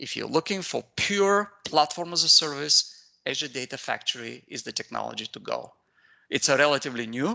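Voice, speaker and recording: A man with an Eastern European accent speaks at a moderate pace and a fairly high pitch, with a bright, sharp tone, lively intonation and big swings in loudness, the sound dry and close with no echo against a quiet background. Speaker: IT consultant and trainer. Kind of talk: technical training webinar. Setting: video call. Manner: hesitant, many fillers.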